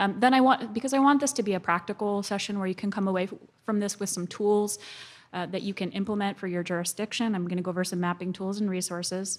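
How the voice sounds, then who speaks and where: Soft-spoken and very fast, a woman talks at a medium pitch with ordinary pitch variation. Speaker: GIS specialist, environmental consultant. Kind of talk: conference presentation. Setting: conference stage with audience.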